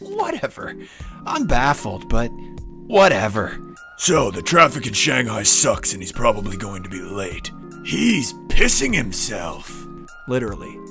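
The speech moves at a fairly slow pace with big swings in loudness, and music plays in the background. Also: man. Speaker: beginner voice actor. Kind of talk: channel intro read. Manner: sarcastic, mocking.

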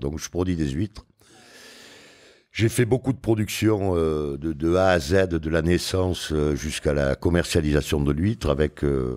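Against a quiet background, a man with a very deep, low pitch talks at a fairly slow pace with lively intonation. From France, Arcachon Bay (Gironde); France. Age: 60s. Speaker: oyster farmer; guest. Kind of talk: podcast interview. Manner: casual. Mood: relaxed, reflective. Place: studio. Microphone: studio mic.

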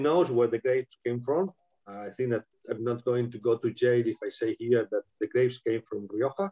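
A man with a Spanish accent talks at a fairly quick pace with ordinary pitch variation over a quiet background. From Spain. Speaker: winemaker; guest. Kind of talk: live online wine tasting. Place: home room. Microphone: video call.

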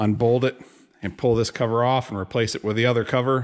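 Fairly even intonation carries a man's speech along at a fairly quick pace. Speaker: tractor mechanic. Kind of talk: tutorial. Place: workshop. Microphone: phone near.

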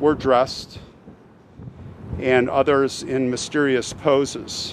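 A man speaking at a very slow pace, with a dry sound, no echo, and light background noise. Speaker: travel vlogger. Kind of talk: casual vlog commentary. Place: open country. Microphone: phone near.

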